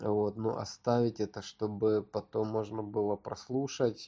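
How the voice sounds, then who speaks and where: Speaking very slowly, a man delivers his words in a flat monotone. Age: 30s. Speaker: podcaster. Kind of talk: solo monologue. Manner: halting.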